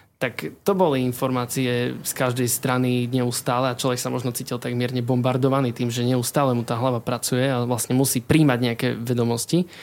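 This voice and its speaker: Hardly pausing, a man speaks at a fairly quick pace in a medium pitch with fairly even intonation. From eastern Slovakia, Košice. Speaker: chemistry student. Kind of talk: casual interview. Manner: halting, many fillers.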